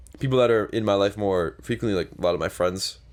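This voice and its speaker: A man's mumbling, very fast speech in a Canadian accent, fairly low in pitch with vocal fry and lively intonation, in a very clean recording with a silent background. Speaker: podcast co-host. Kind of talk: casual chat.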